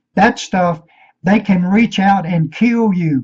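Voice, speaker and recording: A man with a Virginia accent speaks very slowly at a high pitch, his tone dark, mellow and intense, his intonation lively. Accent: Southern US (Virginia). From Virginia, US. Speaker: conspiracy video maker. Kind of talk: rant. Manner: intense, sounds like hollering.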